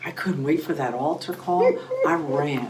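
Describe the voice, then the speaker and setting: A woman speaks with a very deep, low voice at a moderate pace. The room echo is audible and there is noticeable background noise. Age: 60s. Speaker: pastor. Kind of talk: testimony. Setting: studio.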